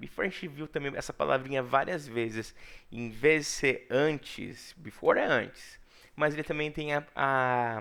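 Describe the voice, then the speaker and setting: Medium pitch from a man, with ordinary pitch variation, on a very clean recording with a silent background. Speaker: English teacher. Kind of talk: lecture. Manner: animated.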